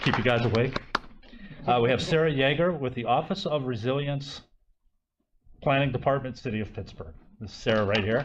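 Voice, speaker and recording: With audible room echo, a man speaks at a fairly quick pace with ordinary pitch variation and long, frequent pauses. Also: medium pitch for a man. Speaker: session moderator. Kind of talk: conference introduction.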